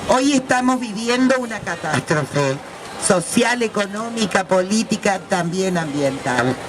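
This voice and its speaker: Very wide pitch swings at a fairly slow pace, with noticeable background noise. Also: woman, medium pitch for a woman. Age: 60s. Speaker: left-wing activist speaking on the environment. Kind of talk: talk at a women's event.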